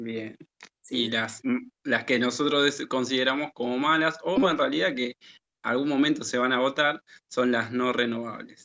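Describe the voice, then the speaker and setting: Here a man has a normal speaking voice at a medium pitch. He talks fairly slowly with fairly even intonation. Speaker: teacher and radio co-host. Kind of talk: educational radio chat.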